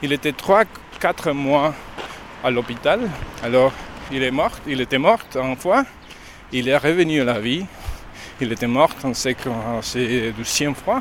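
The speech moves at a very slow pace with ordinary pitch variation over noticeable background noise. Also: man. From Mexico. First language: Spanish (speaking French). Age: 40s. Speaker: pilgrim. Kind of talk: interview. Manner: halting.

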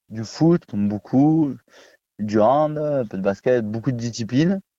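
Against a quiet background, a man with a dark, mellow tone talks at a fairly slow pace with ordinary pitch variation, the sound dry and close with no echo. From southern France, Vaucluse (Pernes-les-Fontaines). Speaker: kickboxing champion and coach. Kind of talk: radio interview.

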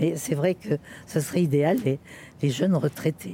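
Very deep, low woman's voice, dark and mellow in tone, somewhat breathy, with lively intonation. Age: 80s+. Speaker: hospital visiting volunteer. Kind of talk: testimony.

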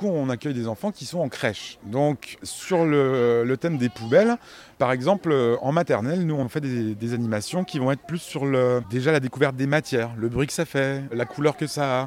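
Over music in the background, a man with a medium pitch talks at a fairly quick pace with ordinary pitch variation. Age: 40s. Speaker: compost workshop facilitator. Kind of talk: interview. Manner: hesitant, many fillers.

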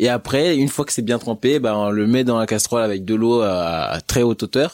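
Ordinary pitch variation in a man's voice at medium pitch. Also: dry, close sound with no echo. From Haitian family, France. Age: young. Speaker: chef. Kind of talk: interview. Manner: halting.

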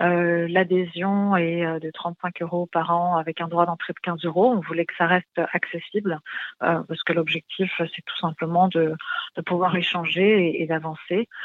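At a fairly slow pace, a woman speaks with fairly low pitch. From Middle East. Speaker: finance think tank president. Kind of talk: radio interview. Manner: halting, many fillers.

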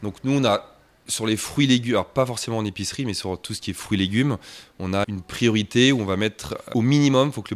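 A man talks in an unremarkable speaking voice at a fairly quick pace. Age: 30s. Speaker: shop and restaurant owner, pastry chef. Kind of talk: interview.

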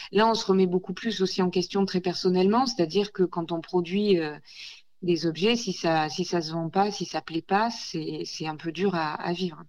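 Her intonation fairly even, a woman talks at a moderate pace and a medium pitch. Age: 40s. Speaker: ceramicist. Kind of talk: radio interview. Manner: hesitant, many fillers.

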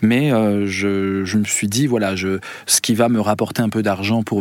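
In a normal speaking voice, a man speaks at a moderate pace with fairly low pitch. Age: 50s. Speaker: philosopher and musician. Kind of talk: radio interview.

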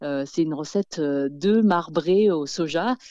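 A dark, mellow tone with lively intonation, dry and close with no echo, against a quiet background. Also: woman. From France. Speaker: author and podcaster. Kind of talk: interview. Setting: phone call. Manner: halting, many fillers and repetitions.

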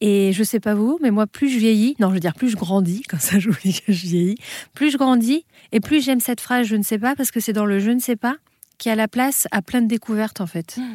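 Somewhat breathy, a woman with a fairly high pitch and a dark, mellow tone talks at a fairly quick pace, in a very clean recording with a silent background and a dry, close sound with no echo. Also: ordinary pitch variation. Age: 30s. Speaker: spiritual author. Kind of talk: interview.

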